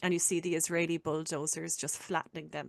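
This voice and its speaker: A woman with an Irish accent speaks at a moderate pace in a fairly low voice with fairly even intonation. The sound is dry and close with no echo, against a quiet background. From Ireland. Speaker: podcast host. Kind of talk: casual chat.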